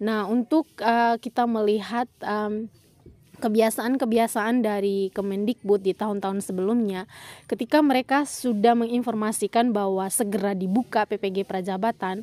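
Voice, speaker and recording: A woman speaks quietly at a moderate pace, her tone dark and mellow despite a fairly high pitch. Her intonation is fairly even, and the sound is dry and close with no echo. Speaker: education YouTuber. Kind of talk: tutorial.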